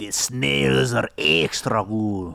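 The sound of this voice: A man puts on a character voice with an Italian accent. His pitch is very deep and low.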